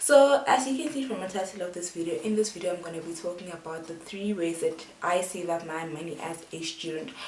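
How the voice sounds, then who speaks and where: Amid noticeable background noise, a woman speaks fairly quickly at a fairly low pitch with ordinary pitch variation. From South Africa. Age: 20s. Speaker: student. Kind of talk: casual talk to camera.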